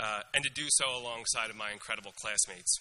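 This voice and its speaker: A man with an American accent speaks at a fairly quick pace against noticeable background noise. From US, Northeast Philadelphia. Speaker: graduating student speaker. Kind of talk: commencement speech. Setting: stage with audience.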